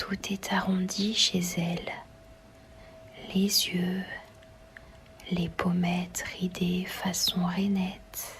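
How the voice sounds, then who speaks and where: Soft-spoken whispering moves at a very slow pace with long, frequent pauses. Noticeable background noise sits behind it. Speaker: ASMR reader. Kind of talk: novel reading. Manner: whispered, soft, relaxing.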